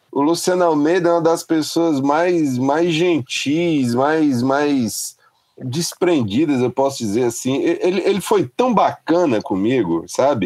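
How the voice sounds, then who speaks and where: A man with a fairly high pitch talks very slowly yet with hardly any pauses, his intonation lively and his loudness very even. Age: 40s. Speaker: music journalist and critic. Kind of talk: casual interview.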